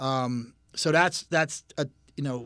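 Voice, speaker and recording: In a Philadelphia accent, a man speaks at a medium pitch with ordinary pitch variation. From Philadelphia area, Pennsylvania. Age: 60s. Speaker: custom motorcycle builder. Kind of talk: casual chat.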